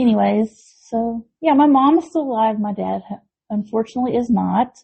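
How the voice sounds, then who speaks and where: A woman speaks at a fairly quick pace in an American accent. Her fairly high voice is somewhat breathy, with ordinary pitch variation. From Tennessee and northwest Georgia, partly Texas. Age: 40s. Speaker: podcast co-host. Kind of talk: casual chat.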